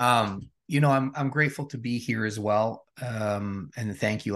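A man with a Canadian accent speaks in an unremarkable speaking voice, fairly low in pitch, at a moderate pace. His pitch varies in an ordinary way, and the background is quiet. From Regina, Saskatchewan, Canada. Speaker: transformation coach. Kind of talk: interview conversation.

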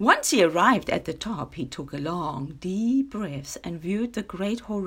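The intonation is lively as someone reads aloud in a natural voice.

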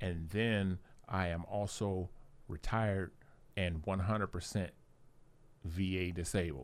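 With a very deep, low pitch, a man speaks at a fairly slow pace, keeping his loudness very even and his intonation fairly even, with long, frequent pauses. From Ohio, US. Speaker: army veteran. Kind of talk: casual interview. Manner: halting.

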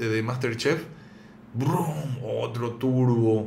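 A man speaks very slowly, his intonation fairly even. Audible room echo fills the recording. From Paraguay, raised there after early childhood in Buenos Aires. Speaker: cook and video creator. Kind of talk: casual interview.

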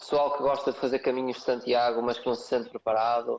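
A man with a European Portuguese accent speaks at a moderate pace. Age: 30s. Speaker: CrossFit coach. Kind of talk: podcast interview.

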